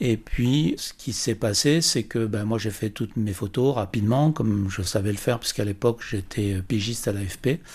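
On a very clean recording with a silent background, a man with a fairly low pitch and a somewhat breathy voice talks at a moderate pace with hardly any pauses and ordinary pitch variation. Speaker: press photographer. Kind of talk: testimony.

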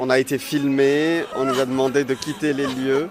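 A man's fairly high voice comes through over noticeable background noise. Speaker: radio correspondent. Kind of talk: field interview. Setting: outdoors.

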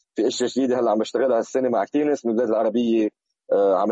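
A man with a normal speaking voice talks at a medium pitch with fairly even intonation. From Lebanon. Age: 40s. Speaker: hip hop DJ and producer. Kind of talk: interview.

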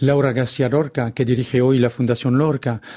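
A man with a French accent speaks at a medium pitch in a dark, mellow tone. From France, Brittany. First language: French (speaking Spanish). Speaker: author. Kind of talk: radio interview.

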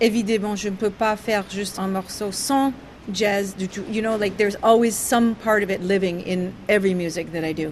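A woman with an English accent at a fairly slow pace, her intonation fairly even, against noticeable background noise. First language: English (speaking French). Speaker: jazz singer. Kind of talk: interview. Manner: halting, with many hesitations.

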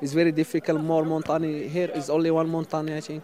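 Over noticeable background noise, a man with a Moroccan accent talks at a fairly quick pace in a fairly high pitch with monotone, flat intonation. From Western Sahara, Morocco. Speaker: migrant. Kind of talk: interview. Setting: outdoors. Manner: halting.

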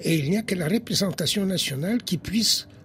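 At a moderate pace, a man with a high-pitched voice speaks with ordinary pitch variation. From Poland, Warsaw. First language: Polish (speaking French). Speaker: historian and philosopher. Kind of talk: interview.

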